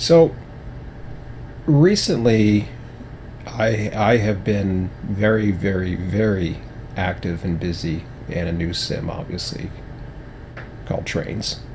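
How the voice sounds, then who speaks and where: Using a put-on character voice, a man speaks quietly and with strain at a fairly low pitch and a fairly slow pace, with long, frequent pauses and noticeable background noise. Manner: quiet, hushed; restrained.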